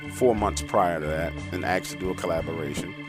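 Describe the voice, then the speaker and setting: A man with an American accent, very wide pitch swings and a fairly quick pace, over music in the background. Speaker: horror story narrator. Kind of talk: casual talk to camera.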